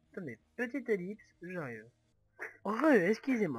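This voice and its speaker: With a Toulouse accent, a man speaks using very wide pitch swings. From Toulouse, southwest France. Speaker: gaming youtuber. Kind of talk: gameplay commentary. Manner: halting, many hesitations.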